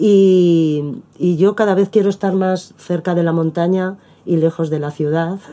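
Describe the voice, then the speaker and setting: A woman with a Madrid accent, fairly low-pitched and fairly even in intonation, at a fairly slow pace over noticeable background noise. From Spain, Madrid. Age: 50s. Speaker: performing artist. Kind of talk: interview. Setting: at the host's home.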